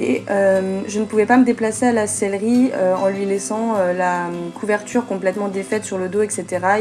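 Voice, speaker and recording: Intonation stays fairly even throughout. Music can be heard behind the voice. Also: woman. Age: 20s. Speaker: equestrian vlogger. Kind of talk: voice-over narration. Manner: hesitant, many fillers.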